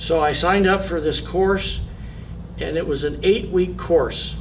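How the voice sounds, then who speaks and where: A man talks at a moderate pace. Some room echo can be heard. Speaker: person with Parkinson's, boxing coach. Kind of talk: testimony. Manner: halting, many repetitions.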